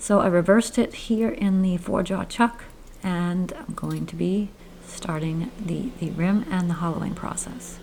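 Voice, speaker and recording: With noticeable background noise behind her, a woman with an American accent speaks at a medium pitch and a fairly slow pace, with ordinary pitch variation. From Maine, US. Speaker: woodturner, channel host. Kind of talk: narrated tutorial voiceover. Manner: casual, with hesitations.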